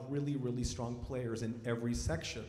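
Audible room echo surrounds a man's voice. He talks at a fairly quick pace with fairly even intonation. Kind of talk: concert announcement to audience. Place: stage. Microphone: handheld.

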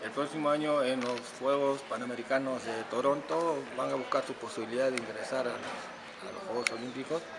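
The voice moves at a moderate pace with ordinary pitch variation, against noticeable background noise. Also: man. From Peru, Callao; Peru. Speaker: shooting coach. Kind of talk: interview; interview answer. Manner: halting. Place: hall.

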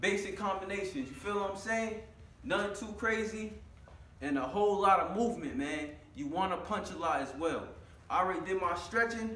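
With audible room echo, a man with a high pitch talks at a fairly quick pace. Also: ordinary pitch variation. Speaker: fitness vlogger. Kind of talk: casual vlog chat. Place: gym. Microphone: camera far.

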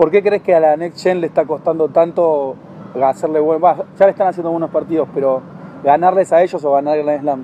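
At a fairly quick pace, a man with a fairly high pitch speaks with fairly even intonation in a dry sound with no echo and light background noise. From Argentina. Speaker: tennis channel interviewer. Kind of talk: interview. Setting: tennis club. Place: garden.

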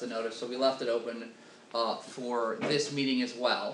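Light background noise with audible room echo. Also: man. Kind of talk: meeting chairing, procedural announcements. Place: meeting room.

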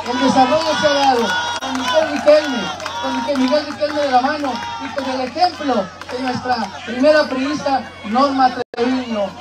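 A man talks at an extremely high pitch and moderate pace with fairly even intonation. Crowd noise fills the background. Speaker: local party representative. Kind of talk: campaign rally speech. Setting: outdoor rally with crowd. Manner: emphatic, oratorical.

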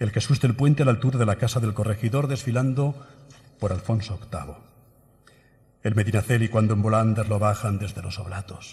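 Somewhat breathy and solemn in tone, a man talks at a fairly quick pace with ordinary pitch variation against a quiet background. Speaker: pregón speaker (Holy Week proclamation orator). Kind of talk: pregón oratory, solemn poetic Holy Week proclamation delivered to an audience. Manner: solemn, rhythmic and emotive, lyrical cadence with evocative, measured pauses. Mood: solemn, emotive. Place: hall. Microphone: podium.

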